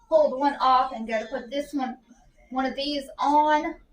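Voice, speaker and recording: With music in the background, a woman talks at a high pitch and a fairly slow pace. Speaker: parent product reviewer. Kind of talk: casual product review. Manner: soft-spoken.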